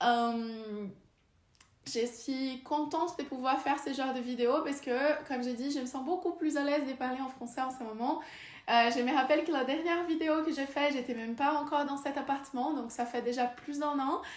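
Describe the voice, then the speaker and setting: A woman speaks with a Brazilian accent at a moderate pace, her high voice held to fairly even intonation. Audible room echo surrounds her. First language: Portuguese (speaking French). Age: 20s. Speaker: vlogger and researcher. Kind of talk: casual vlog talk. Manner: halting, many hesitations.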